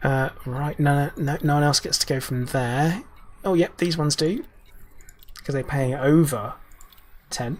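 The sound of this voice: A man talks in a raspy voice at a fairly high pitch. He leaves long, frequent pauses. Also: ordinary pitch variation, fairly slow pace.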